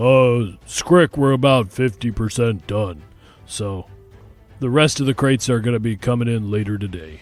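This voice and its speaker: Over faint music in the background, a man does a put-on character voice at medium pitch and a moderate pace. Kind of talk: casual, businesslike.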